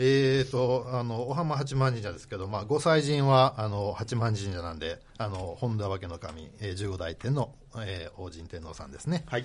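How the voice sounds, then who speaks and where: Breathing somewhat audibly, a man at medium pitch keeps a moderate pace with hardly any pauses. His intonation is lively, and his loudness swings a lot. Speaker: Shinto priest. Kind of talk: radio interview, storytelling. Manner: fluent.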